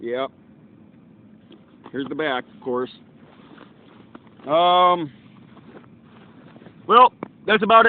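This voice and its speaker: Shouting at a high pitch, a man swings very widely in pitch and sharply in loudness at a very slow pace. Long pauses come often, and background noise is noticeable. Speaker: YouTuber doing product review. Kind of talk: product review vlog. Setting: outdoors at a park. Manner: loud, shouting to reach distant camera; hesitant, many fillers.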